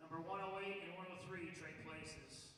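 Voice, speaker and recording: Amid noticeable background noise and audible room echo, a man uses a raised, projected voice at a high pitch with fairly even intonation. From Florida. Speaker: bodybuilding show emcee calling poses. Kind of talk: stage emceeing of poses. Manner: commanding.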